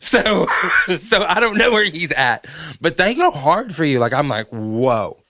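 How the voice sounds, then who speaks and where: A man's high-pitched voice with a Southern accent and very wide pitch swings. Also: fairly slow pace. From US South. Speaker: podcast host. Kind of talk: casual chat. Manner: animated.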